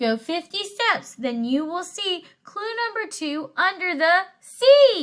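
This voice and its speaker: Putting on a character voice, a woman speaks at an extremely high pitch with very wide pitch swings, at a fairly slow pace with hardly any pauses. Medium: read story.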